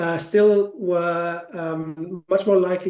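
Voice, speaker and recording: The speaker has a German accent and a dark, mellow tone. The intonation stays fairly even. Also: man. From Germany. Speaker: ETF sales executive. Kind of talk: webinar Q&A. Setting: online webinar. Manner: hesitant, many fillers.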